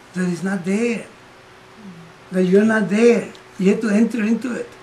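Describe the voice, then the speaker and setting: A man talks at a fairly slow pace with a high pitch. Noticeable background noise can be heard. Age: 60s. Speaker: Vedanta teacher. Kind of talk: spiritual talk. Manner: conversational.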